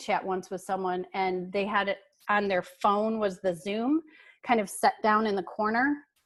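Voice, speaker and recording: A woman with a normal speaking voice talks at a moderate pace, her medium pitch rising and falling in an ordinary way. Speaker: workshop presenter. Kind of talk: webinar presentation. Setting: video call.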